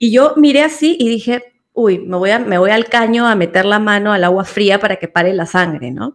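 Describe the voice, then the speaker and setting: A woman's plain, everyday voice, medium in pitch, with lively intonation at a moderate pace. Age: 40s. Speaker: podcast co-host. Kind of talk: casual chat.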